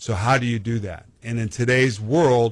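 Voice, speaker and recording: A man with an American accent in an ordinary speaking voice, medium in pitch, at a moderate pace with fairly even intonation, in a very clean recording with a silent background. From Arizona, US. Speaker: missile defense advocate, former football player. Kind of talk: radio interview.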